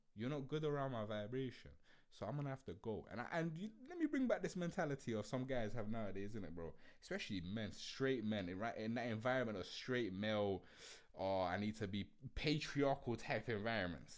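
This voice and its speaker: A man with a London accent, lively intonation and a fairly quick pace. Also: medium pitch for a man. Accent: Multicultural London English. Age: 20s. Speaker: podcast host. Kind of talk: casual monologue podcast. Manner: animated.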